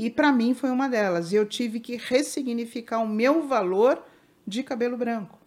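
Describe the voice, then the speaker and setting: A woman speaks at a moderate pace with a fairly high pitch and ordinary pitch variation. It is a normal speaking voice. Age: 60s. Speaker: family constellation therapist. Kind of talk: interview.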